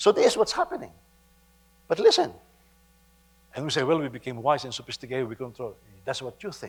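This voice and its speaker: A man speaks with a Filipino accent in a fairly high pitch. His voice is somewhat breathy, with lively intonation. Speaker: pastor. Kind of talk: sermon. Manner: halting, with frequent repetitions.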